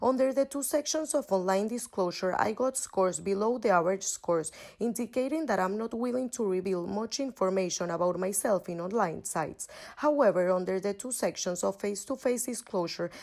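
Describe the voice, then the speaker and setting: A woman talks at a fairly quick pace. Her medium-pitched voice carries lively intonation. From Venezuela, Caracas. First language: Spanish. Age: 20s. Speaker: university student. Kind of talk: scripted class presentation.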